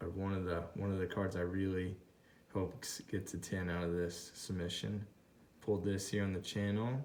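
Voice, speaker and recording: The voice is a man's. It sits very deep and low. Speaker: YouTube card collector. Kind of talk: card unboxing commentary. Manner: mumbling to himself; excited, exclaiming. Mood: excited, pleased. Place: home room. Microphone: phone near.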